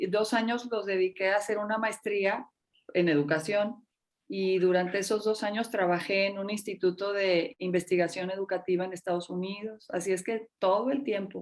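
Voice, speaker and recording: A woman with a normal speaking voice at a medium pitch and a moderate pace. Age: 60s. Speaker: teacher and school administrator. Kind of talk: interview.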